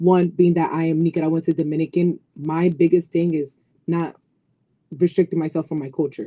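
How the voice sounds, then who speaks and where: In a New York accent, the speaker uses a dark, mellow tone at a fairly quick pace. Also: woman, dry, close sound with no echo. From Brooklyn, New York. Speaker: fitness coach. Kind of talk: casual chat. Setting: live stream. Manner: animated.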